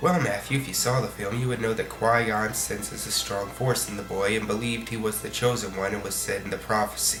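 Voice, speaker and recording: A man with an American accent and a medium pitch speaks at a fairly quick pace over music in the background. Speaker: online video reviewer. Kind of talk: video review commentary.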